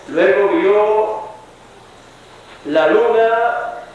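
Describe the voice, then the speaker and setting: Noticeable background noise runs under a man speaking in a high voice. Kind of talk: religious sermon. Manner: slow, with filler pauses.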